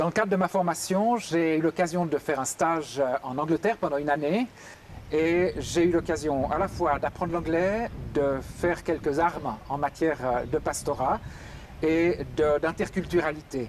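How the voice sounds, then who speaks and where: A man has an ordinary speaking voice, fairly high in pitch, with ordinary pitch variation, a moderate pace, and very even loudness. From Geneva, Switzerland. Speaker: pastor. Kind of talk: interview testimony.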